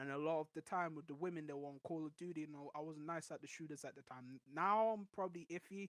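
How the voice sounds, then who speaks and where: At a very fast pace with hardly any pauses, a man with a fairly high pitch talks in an animated tone, in a dry, close sound with no echo. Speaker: gaming podcast guest. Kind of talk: casual chat.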